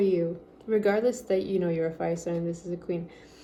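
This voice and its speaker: Noticeable background noise and audible room echo accompany a woman speaking at a fairly quick pace. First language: French. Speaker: tarot reader. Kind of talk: tarot reading. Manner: animated.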